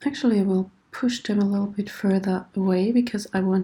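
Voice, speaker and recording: Somewhat breathy, a woman's medium-pitched voice with a dark, mellow tone. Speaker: 3D modelling tutor. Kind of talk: tutorial. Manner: hesitant, many fillers.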